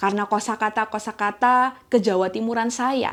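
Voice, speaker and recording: Against a silent background on a very clean recording, a woman with a strong East Javanese accent and a fairly high pitch speaks at a fairly slow pace. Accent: thick East Javanese. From East Java, Indonesia (Gresik). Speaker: church elder. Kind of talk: sermon.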